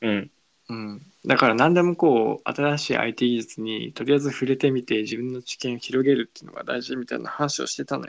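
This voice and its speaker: A plain, everyday voice from a man of medium pitch, at a fairly quick pace with ordinary pitch variation and big swings in loudness, over a quiet background. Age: 20s. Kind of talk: casual chat. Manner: playful.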